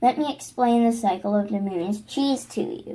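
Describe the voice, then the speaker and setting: A woman puts on a character voice at a fairly high pitch. Her pace is moderate. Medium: read story. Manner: friendly.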